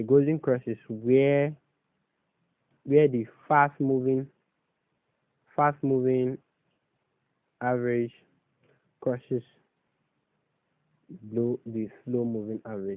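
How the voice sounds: A man's medium-pitched voice at a slow pace, with ordinary pitch variation and a dry, close sound free of echo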